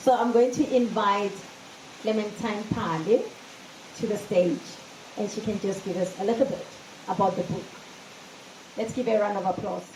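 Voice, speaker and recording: Noticeable background noise and audible room echo surround a woman's medium-pitched voice. She takes long, frequent pauses. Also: fairly even intonation. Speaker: event MC. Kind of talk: speech at book launch. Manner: loud; fast.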